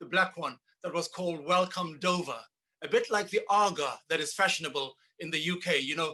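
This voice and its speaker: A man's high, bright and sharp voice with a Zulu accent, at a moderate pace. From South Africa, Zulu township near Durban. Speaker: percussionist and composer. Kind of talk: casual interview. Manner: halting, many repetitions.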